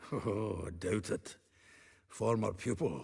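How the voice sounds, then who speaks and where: A raspy, put-on character voice from a man, fairly low in pitch. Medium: video game. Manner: blunt, earthy.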